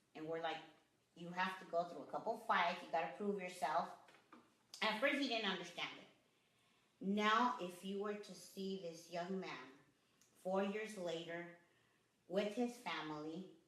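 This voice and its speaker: Speaking with an American accent at a medium pitch, a woman goes at a fairly slow pace with long, frequent pauses, big swings in loudness and ordinary pitch variation, and the room echo is audible. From Los Angeles, US. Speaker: boxing gym owner. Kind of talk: interview.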